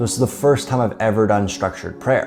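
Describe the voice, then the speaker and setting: A man talks with music in the background. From United States. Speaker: entrepreneur, podcast host. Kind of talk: personal story told to camera. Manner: casual, conversational.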